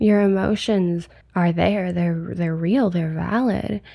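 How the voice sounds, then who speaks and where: Over a silent background in a very clean recording, a woman speaks at a fairly slow pace with a medium pitch, a gentle tone, a dark, mellow quality and fairly even intonation. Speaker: podcast host. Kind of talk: solo podcast pep talk, like an honest journal entry. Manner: candid, conversational, unpolished, with ums and pauses; low-energy, gentle and reassuring.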